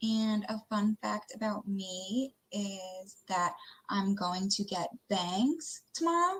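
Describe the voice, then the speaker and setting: A woman's somewhat breathy voice with an American accent, at a very slow pace with ordinary pitch variation. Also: medium pitch for a woman. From Long Island, New York. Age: 20s. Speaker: nurse, game contestant. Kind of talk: self-introduction on video call.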